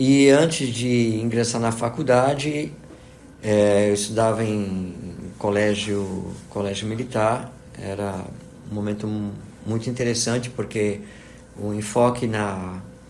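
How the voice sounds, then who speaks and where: Speaking at a very slow pace with long, frequent pauses, a man uses a fairly low pitch and fairly even intonation amid audible room echo and noticeable background noise. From Brazil, moved among several states (military family). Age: 60s. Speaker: physics professor. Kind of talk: interview, life story. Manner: hesitant, many fillers (né, tá, entendeu).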